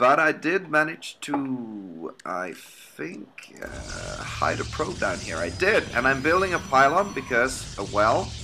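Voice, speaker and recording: A man speaks very slowly with a Swedish accent. His medium-pitched voice has very wide pitch swings. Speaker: amateur game caster. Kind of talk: live game commentary. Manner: hesitant, many fillers. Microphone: poor laptop audio.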